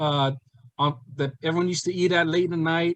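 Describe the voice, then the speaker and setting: A man with a strong Hawaiian accent speaks at a moderate pace in a high-pitched voice. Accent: thick Hawaiian. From East Los Angeles. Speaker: comedian. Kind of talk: casual chat. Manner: halting.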